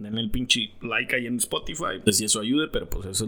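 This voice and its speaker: The man talks at a moderate pace in a bright, sharp tone. His pitch rises and falls in an ordinary way. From Mexico. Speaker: podcast co-host. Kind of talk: casual chat. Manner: animated.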